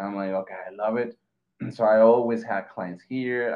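The voice belongs to a man. He speaks with a Mexican accent. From Mexico. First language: Spanish. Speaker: graphic designer. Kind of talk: casual interview. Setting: video call.

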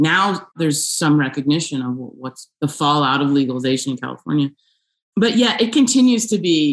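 A woman with a very deep, low pitch and an American accent, at a moderate pace, with very wide pitch swings. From New York area. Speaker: filmmaker. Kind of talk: interview.

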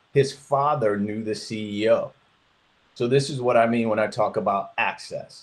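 This man has an American accent and a medium pitch. He speaks at a fairly slow pace with fairly even intonation. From Detroit, Michigan, US. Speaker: engineer. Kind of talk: interview. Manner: halting.

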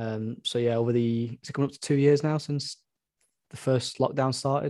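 In a normal speaking voice, a man keeps a fairly quick pace. Intonation stays fairly even at a medium pitch. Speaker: Bitcoin company executive. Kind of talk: casual interview chat.

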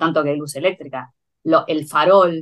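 A woman with a Rioplatense accent, her pitch very deep and low, at a moderate pace. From Argentina, Buenos Aires. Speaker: agricultural producer and poet. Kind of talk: interview conversation. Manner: halting, many fillers.

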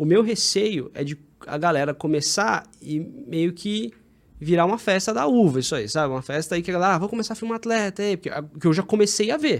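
Lively intonation from a man with a high pitch at a fairly quick pace. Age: 30s. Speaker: running content filmmaker. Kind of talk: casual chat.

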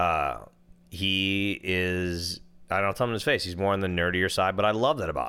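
A man with a very deep, low pitch talks in an American accent with a bright, sharp tone. He moves at a fairly quick pace with ordinary pitch variation. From Minnesota. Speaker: podcast co-host, father and DJ. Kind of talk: casual chat. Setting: studio.

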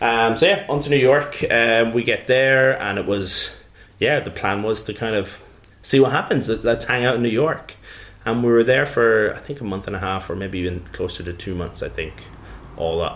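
With an Irish accent, a man at medium pitch speaks with lively intonation. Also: moderate pace. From Ireland, County Carlow. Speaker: drinks brand advocate, former bartender. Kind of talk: casual interview. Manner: hesitant, many fillers.

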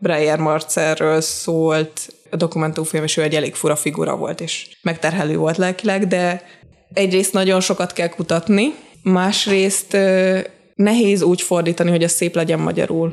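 A plain, everyday voice moves along at a moderate pace. The intonation stays fairly even. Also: woman, fairly low pitch for a woman. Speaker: subtitle translator. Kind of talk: casual interview.

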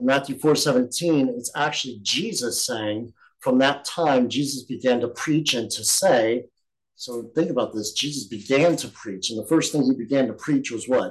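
A man talks in an ordinary speaking voice, keeping a moderate pace and ordinary pitch variation. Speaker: bible study teacher. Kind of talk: bible study teaching. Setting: recorded group session.

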